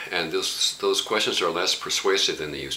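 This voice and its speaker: A man speaks at a moderate pace. Noticeable background noise is heard. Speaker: spiritual teacher. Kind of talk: reflective spoken talk. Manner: impassioned, warm; halting with fillers.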